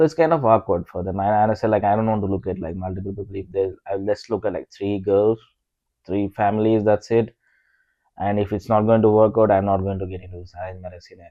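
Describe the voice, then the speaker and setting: With an Indian accent, a man talks at a very fast pace in a fairly low pitch, with fairly even intonation and big swings in loudness. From rural India. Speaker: podcast co-host. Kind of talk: casual chat. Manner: halting, many fillers.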